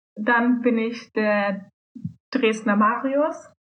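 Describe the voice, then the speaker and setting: The fairly high-pitched voice of a woman comes through with audible room echo. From Germany, Solingen. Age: 20s. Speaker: student, youth politics activist. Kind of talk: casual chat.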